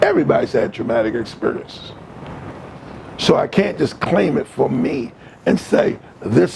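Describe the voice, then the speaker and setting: At a moderate pace, the speaker leaves long, frequent pauses over noticeable background noise. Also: man. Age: 70s. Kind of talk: casual chat.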